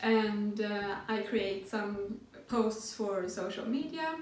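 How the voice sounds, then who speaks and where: A woman with a non-native accent speaks at a fairly high pitch with fairly even intonation. Room echo is audible. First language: not English. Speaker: sewing pattern designer. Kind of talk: tutorial. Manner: hesitant, with filler sounds. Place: home room.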